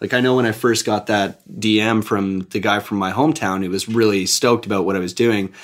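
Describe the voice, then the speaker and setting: In a plain, everyday voice, a man talks at a fairly quick pace with hardly any pauses, fairly even intonation, and a fairly low pitch. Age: 20s. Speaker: real estate investor. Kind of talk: podcast interview.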